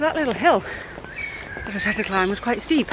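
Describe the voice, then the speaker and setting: A woman with an English accent, talking at a very fast pace with lively intonation over noticeable background noise. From England. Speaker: travel vlogger. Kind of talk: travel vlog narration. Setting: outdoors.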